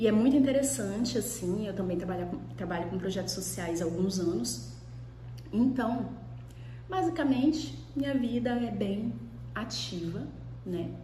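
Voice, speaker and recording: Relaxed and fairly slow, a woman talks with long, frequent pauses amid audible room echo and noticeable background noise. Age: 30s. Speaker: law professor and vlogger. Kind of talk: casual vlog talk to camera. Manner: relaxed, conversational.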